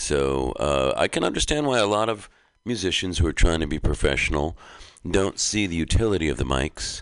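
Over a quiet background, a man speaks with a very deep, low pitch. His moderate-paced delivery carries vocal fry. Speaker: performer. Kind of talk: casual chat. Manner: articulate, reflective.

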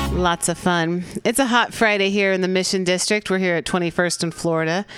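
A woman speaks at a moderate pace with a medium pitch. Hers is a normal speaking voice. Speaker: radio host. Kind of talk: radio interview. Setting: studio.

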